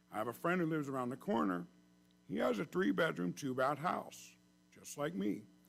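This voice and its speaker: Vocal fry runs through this man's voice as it makes very wide pitch swings. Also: medium pitch for a man, fairly quick pace. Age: 60s. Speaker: public commenter at city council meeting. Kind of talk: public comment.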